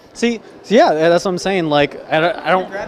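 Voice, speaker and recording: A man with a high pitch at a moderate pace, against noticeable background noise. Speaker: convention vlogger. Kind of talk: casual chat. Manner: animated.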